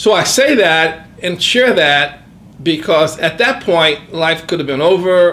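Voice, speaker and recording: Over noticeable background noise, a man with a high voice speaks very slowly, his pitch varying in an ordinary way. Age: 60s. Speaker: retiring professional sharing life insights. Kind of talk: interview, reflective testimony. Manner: hesitant, many filler words.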